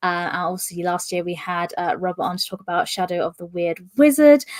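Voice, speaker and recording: A woman with a British accent speaks at a fairly quick pace and fairly low pitch. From UK. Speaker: podcast host. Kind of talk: interview. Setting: live stream.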